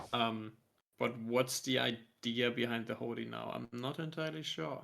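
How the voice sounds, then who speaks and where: A man talks at a moderate pace with a medium pitch. His tone is bright and sharp, with ordinary pitch variation. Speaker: card game commentator. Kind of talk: live commentary. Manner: mumbling.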